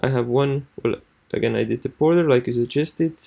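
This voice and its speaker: This man has a dark, mellow tone and a non-native accent. He talks at a moderate pace with fairly even intonation. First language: not English. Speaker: marketing student. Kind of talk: screen-recorded tutorial walkthrough. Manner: halting, many fillers.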